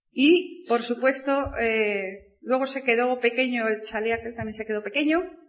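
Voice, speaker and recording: A fairly high-pitched woman's voice, an ordinary speaking voice, at a fairly slow pace with ordinary pitch variation. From Spain, province of Burgos. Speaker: network marketing speaker. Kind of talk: motivational talk.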